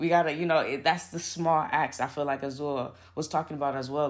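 The background is quiet. Someone with an American accent talks at a fairly quick pace. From Oakland, California. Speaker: farmer and community organizer. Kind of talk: casual interview conversation.

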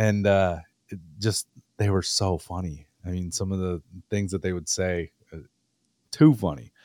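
In a very clean, dry recording with a close sound, no echo and a silent background, a man with an Upper Midwest accent speaks fairly slowly at a very deep, low pitch, with ordinary pitch variation and long, frequent pauses. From Wisconsin. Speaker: podcast host. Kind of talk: casual interview.

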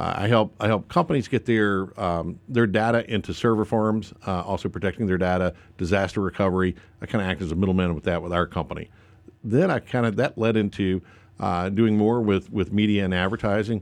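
With a North Carolina accent, a man speaks at a fairly low pitch and fairly quick pace against a quiet background. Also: ordinary pitch variation. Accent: US Southern (North Carolina). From North Carolina, Lincoln County. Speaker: state politician. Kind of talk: radio interview. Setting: radio studio.

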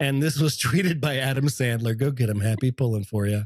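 A man's voice sounds somewhat breathy. The recording is dry and close, with no echo. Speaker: podcast host. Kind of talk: casual chat. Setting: video call. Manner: animated.

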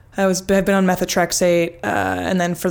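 With noticeable background noise behind her, a woman with an American accent speaks at a fairly low pitch with fairly even intonation. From US West, Jackson Hole, Wyoming. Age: 20s. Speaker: retired cross-country ski racer. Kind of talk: interview, casual chat.

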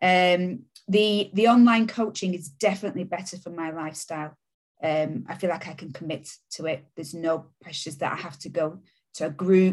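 A woman speaks in a Yorkshire accent at a fairly low pitch. Her pitch varies in an ordinary way while her loudness swings a lot. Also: moderate pace. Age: 40s. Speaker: deputy head teacher. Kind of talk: interview testimony. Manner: hesitant, many fillers.

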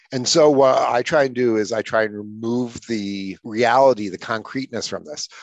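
A man with an ordinary speaking voice, medium in pitch, at a moderate pace with hardly any pauses and fairly even intonation. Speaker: author and speaker. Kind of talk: guided visualization, walking the listener through imagining their future; casual interview conversation. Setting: podcast interview.

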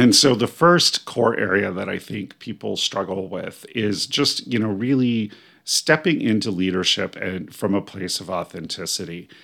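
A man with an American accent talks at a moderate pace with hardly any pauses. His fairly low voice has a bright, sharp tone, and the recording is very clean with a silent background. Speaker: spiritual life coach and podcast host. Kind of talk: solo podcast monologue.

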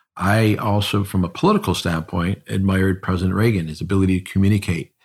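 Speaking with an American accent, a man has a very deep, low pitch and a somewhat breathy quality, captured in a very clean recording with a silent background. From Cleveland area, Northeast Ohio. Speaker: insurance firm founder and CEO. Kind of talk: interview conversation.

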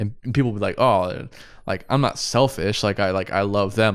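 The recording is very clean, with a silent background. A man speaks at a fairly low pitch and a moderate pace. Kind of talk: casual chat about faith. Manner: relaxed, laid-back.

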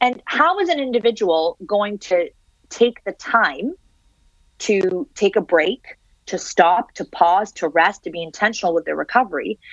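With a Canadian accent, a woman speaks in a normal speaking voice at a medium pitch and a fairly slow pace. Her intonation is lively, and the sound is dry and close with no echo. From Canada (Syrian-born). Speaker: author on digital technology. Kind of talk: interview. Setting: remote interview from home.

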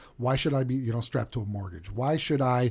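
Speaking with an American accent, this man has a somewhat breathy, medium-pitched voice with ordinary pitch variation. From US Midwest, Chicago south suburbs. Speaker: chef and hospitality professor. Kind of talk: interview. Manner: many fillers, hesitant.

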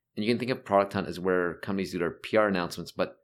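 Very fast and very deep, a man's voice shows vocal fry and ordinary pitch variation on a very clean recording with a silent background. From Toronto, Canada (North York). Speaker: tech investor and entrepreneur. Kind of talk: interview.

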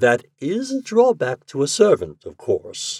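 A man's put-on character voice, fairly slow, with very wide pitch swings, vocal fry and a slightly husky edge, on a very clean recording with a silent background. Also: medium pitch for a man.

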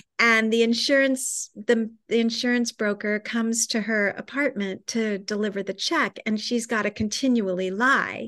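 A woman speaks in a normal speaking voice, fairly high in pitch, at a moderate pace with hardly any pauses. Her intonation is fairly even, and the background is quiet. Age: 60s. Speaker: author and writing teacher. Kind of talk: casual chat.

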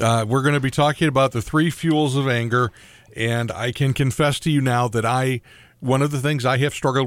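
Speaking with fairly even intonation at medium pitch, a man has a plain, everyday voice. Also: very even loudness. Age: 60s. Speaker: radio host. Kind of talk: casual chat.

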